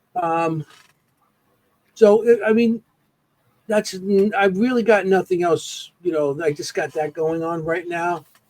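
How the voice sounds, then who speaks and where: A man with an American accent and a high pitch talks at a fairly slow pace with ordinary pitch variation and long, frequent pauses. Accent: New York accent, noticed by others. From New York. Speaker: paranormal investigator. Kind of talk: casual podcast interview. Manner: halting, many fillers.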